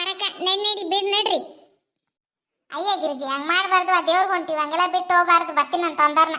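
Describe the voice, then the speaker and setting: This woman uses a cartoonish character voice pitched extremely high. She moves at a moderate pace with fairly even intonation. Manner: brisk, teasing.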